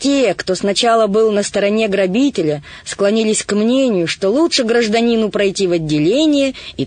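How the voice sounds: The reading voice is natural. It stays that way from start to finish.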